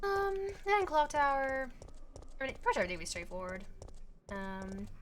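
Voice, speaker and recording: In a room with audible echo, a woman speaks very fast at a high pitch, her voice making very wide pitch swings. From Australia. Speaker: video game streamer. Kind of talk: casual live-stream chat while gaming. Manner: casual, hesitant with many fillers.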